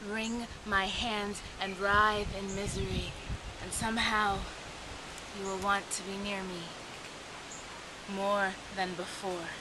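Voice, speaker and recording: Over noticeable background noise, a woman speaks at a very slow pace and medium pitch in a monotone, flat intonation, with long, frequent pauses. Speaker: poet. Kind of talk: spoken word poetry performance. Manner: ecstatic, impassioned. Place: forest. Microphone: phone near.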